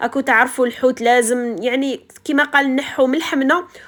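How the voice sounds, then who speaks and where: A high-pitched woman with an Algerian accent, at a moderate pace and with ordinary pitch variation. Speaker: homemaker vlogger. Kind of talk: casual vlog narration.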